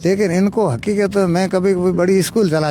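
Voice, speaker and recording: The man speaks at a high pitch. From Rajasthan, India (Ramsar area). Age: 70s. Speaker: retired village elder, former branch postmaster. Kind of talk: interview, casual storytelling. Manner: halting, with false starts.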